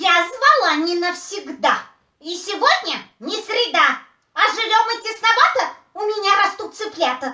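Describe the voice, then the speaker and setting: This put-on character voice sounds female, pitched extremely high for a woman and delivered at a moderate pace. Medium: audio drama. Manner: fussy, chattering.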